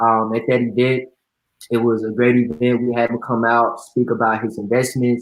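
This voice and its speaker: A man with an American accent speaks at a medium pitch. His intonation is monotone and flat. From Texas, suburban Dallas. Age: 20s. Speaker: entrepreneur and event promoter. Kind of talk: interview. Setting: online live video event.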